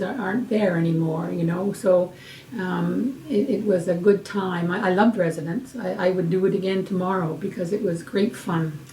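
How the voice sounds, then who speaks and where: The speaker moves at a moderate pace with ordinary pitch variation, over noticeable background noise. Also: woman. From Hamilton, Ontario, Canada. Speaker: retired nurse and nursing educator. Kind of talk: oral history interview. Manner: halting, with fillers and repetitions.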